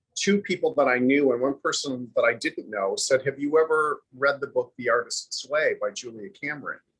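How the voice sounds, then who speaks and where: A man at a moderate pace, with hardly any pauses. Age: 60s. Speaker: actor. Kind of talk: interview.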